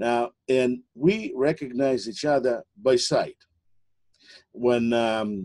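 Very slowly and in a dark, mellow tone, a man speaks against a quiet background. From Soviet Union. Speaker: interview host. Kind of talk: interview. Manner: halting. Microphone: webcam.

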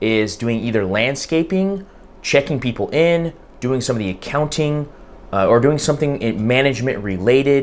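Lively intonation from a man, delivered at a moderate pace. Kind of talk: educational vlog talk. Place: home room.

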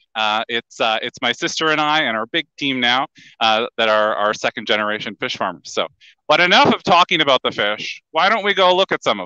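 Against a quiet background, a man speaks at a fairly quick pace in a bright, sharp tone with very wide pitch swings and a dry sound with no echo. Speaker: fish farmer. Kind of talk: guided farm tour. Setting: on a fish farm, live video stream. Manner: cheerful, laughs often. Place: farm machine. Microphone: headset.

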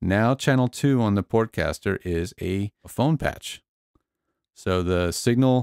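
With an unremarkable speaking voice, a man talks at a fairly low pitch with ordinary pitch variation, in a dry sound with no echo and a quiet background. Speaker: tech channel host. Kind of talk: tutorial. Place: studio. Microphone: studio mic.

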